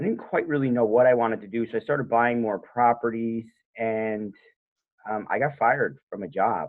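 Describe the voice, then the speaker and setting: A man speaks at a moderate pace and a medium pitch. His is an ordinary speaking voice with ordinary pitch variation. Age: 30s. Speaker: home inspector. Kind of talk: interview. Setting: podcast interview.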